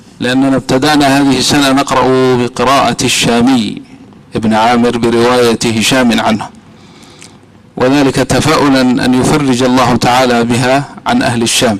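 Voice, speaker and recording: Over noticeable background noise, a man at medium pitch speaks at a fairly slow pace in a monotone, flat delivery with very even loudness. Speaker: imam and Quran reciter. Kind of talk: short address to congregation. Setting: mosque.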